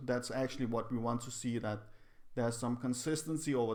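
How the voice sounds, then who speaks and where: At a moderate pace, the speaker talks with a non-native accent and fairly even intonation. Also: man. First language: not English. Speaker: psychology video creator. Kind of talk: casual explainer video. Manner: halting, with repetitions.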